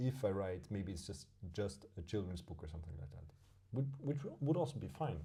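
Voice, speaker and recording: A man with a German accent speaks at a fairly low pitch and a fairly quick pace, his tone dark and mellow and somewhat breathy. His pitch swings very widely, and audible room echo surrounds his voice. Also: big swings in loudness. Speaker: podcast co-host. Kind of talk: casual chat. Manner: halting, with many repeated words.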